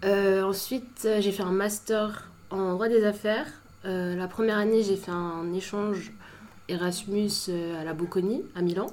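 A woman speaks very slowly at a medium pitch with fairly even intonation. Audible room echo surrounds her voice. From Paris suburbs, France (Saint-Maur). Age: 20s. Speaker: law student. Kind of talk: casual chat.

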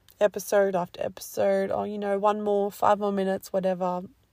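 Delivered at a moderate pace in an Australian accent, the speech has a dry, close sound with no echo. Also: woman. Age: 20s. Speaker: podcast host. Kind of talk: casual solo talk.

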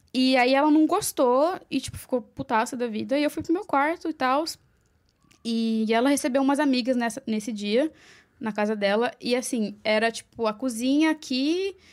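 In a very clean recording with a silent background, a woman with a Paulista accent speaks at a high pitch and a moderate pace, with ordinary pitch variation. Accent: Paulista Brazilian Portuguese. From Brazil, Mogi das Cruzes (Greater São Paulo). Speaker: makeup artist. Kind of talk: casual interview.

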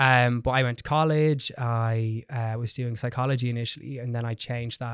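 A man at a medium pitch with an Irish accent, talking at a very fast pace. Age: 20s. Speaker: hairdresser and educator. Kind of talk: casual chat. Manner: cocky and perky.

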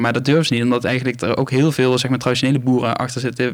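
A man speaks with fairly even intonation. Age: 20s. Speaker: farmer. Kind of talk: interview. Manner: halting.

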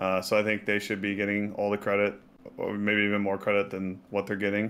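A man with an American accent speaks in a fairly low voice. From Texas. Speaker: esports coach. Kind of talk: casual chat. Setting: video call.

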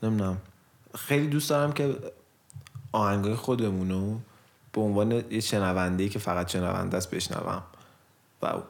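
Pausing long and often, a man speaks at a moderate pace in a fairly low pitch with ordinary pitch variation. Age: 20s. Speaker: podcast co-host and musician. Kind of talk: casual chat.

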